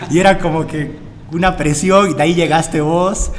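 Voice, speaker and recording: A man talks with fairly even intonation. There is noticeable background noise and audible room echo. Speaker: podcast host, gym owner. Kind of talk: casual interview.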